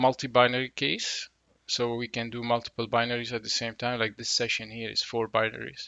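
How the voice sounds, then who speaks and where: A man speaks with a non-native accent. His pitch sits in the medium range. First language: not English. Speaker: tech educator, reverse engineering. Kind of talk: tutorial. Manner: casual, with frequent fillers.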